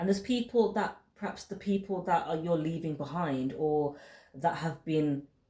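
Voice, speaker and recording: A woman with a fairly low, somewhat breathy voice and a dark, mellow tone speaks at a fairly quick pace. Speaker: tarot reader. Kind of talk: tarot reading monologue.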